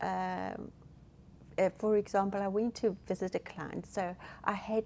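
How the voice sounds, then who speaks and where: Speaking with a South African accent, a woman goes at a very slow pace. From South Africa, Durban. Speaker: hospice counsellor. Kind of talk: interview. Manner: halting, many fillers.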